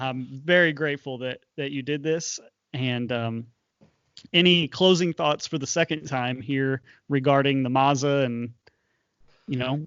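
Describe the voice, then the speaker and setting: Pausing long and often, a man talks at a fairly slow pace in a fairly high pitch with fairly even intonation. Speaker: podcast host. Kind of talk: casual interview. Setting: bedroom next to sleeping babies. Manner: mellow and subdued.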